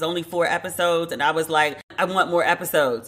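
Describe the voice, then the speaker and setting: Speaking very fast, a woman with a fairly low pitch uses an animated tone. She has an American accent. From United States. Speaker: podcast host. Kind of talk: casual commentary podcast.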